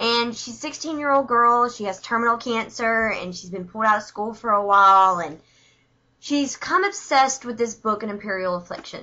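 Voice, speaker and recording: With a strong Southern US accent, a woman speaks with lively intonation. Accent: thick Southern US. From US South, Alabama. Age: 20s. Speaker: book reviewer vlogger. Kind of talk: casual video review. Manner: chatty, informal.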